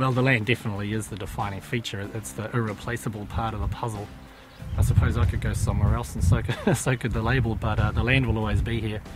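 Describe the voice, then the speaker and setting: Against music in the background, a man talks at a very fast pace with a fairly low pitch and ordinary pitch variation. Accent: New Zealand. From New Zealand. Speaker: winemaker. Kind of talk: interview.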